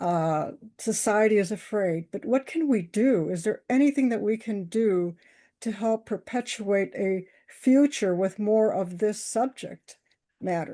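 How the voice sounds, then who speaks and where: A woman speaks at a fairly high pitch in a dark, mellow tone. Her pace is fairly slow over a quiet background. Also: ordinary pitch variation. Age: 60s. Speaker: audience member, early childhood educator. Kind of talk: Q&A question.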